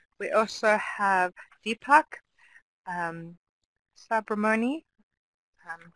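The sound is dry and close, with no echo. A woman is the one talking. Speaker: webinar host and academic. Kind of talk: formal introduction. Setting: video call.

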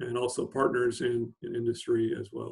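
A man's somewhat breathy voice comes through over a quiet background. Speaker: plant scientist. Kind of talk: webinar presentation. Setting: video call. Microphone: video call.

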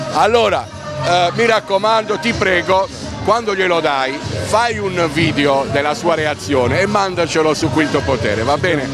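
A man at a moderate pace, dry sound with no echo, and clear music in the background. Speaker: street interviewer. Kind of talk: vox pop interview, joking. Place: shop. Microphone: handheld.

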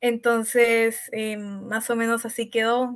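The speaker is a woman with a fairly high voice. She talks very slowly. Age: young. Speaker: university student and author. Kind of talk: panel discussion.

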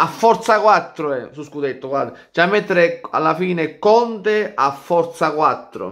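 Lively intonation over a quiet background. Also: man. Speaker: football fan commentator. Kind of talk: casual vlog chat, football commentary. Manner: animated, loud, jokey and provocative; fast, rambling, excited, punchy repeated phrases. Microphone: phone near.

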